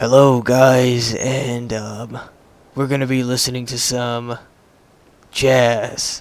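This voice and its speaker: A soft-spoken man in a put-on character voice, medium pitch, at a very slow pace, monotone and flat, with long, frequent pauses. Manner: soft, smooth, intimate.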